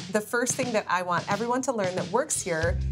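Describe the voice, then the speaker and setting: Faint music plays in the background. Over it, a woman talks at a very fast pace. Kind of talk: tutorial. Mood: warm, upbeat. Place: shop.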